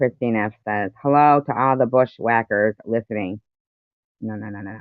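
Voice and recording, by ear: With a dry, close sound and no echo, a woman speaks at a moderate pace in an extremely low voice. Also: ordinary pitch variation.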